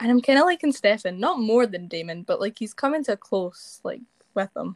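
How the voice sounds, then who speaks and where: A woman speaks in a Scottish accent at a fairly high pitch and moderate pace. Her intonation is lively, and the sound is dry and close with no echo. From Scotland. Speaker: TikTok actor. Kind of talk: casual chat.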